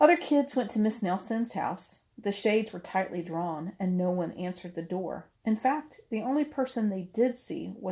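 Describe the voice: A case of plain reading aloud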